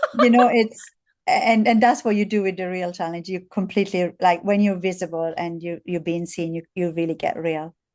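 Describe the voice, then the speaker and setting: An Italian accent at a moderate pace with ordinary pitch variation. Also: woman, medium pitch for a woman. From Italy. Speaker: visibility coach for women. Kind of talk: casual interview chat. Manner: animated.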